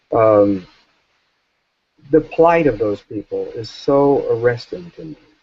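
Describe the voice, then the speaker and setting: Over music in the background, a man with an American accent speaks at a fairly slow pace with a medium pitch and ordinary pitch variation. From US South. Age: 60s. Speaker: author and journalist. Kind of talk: interview.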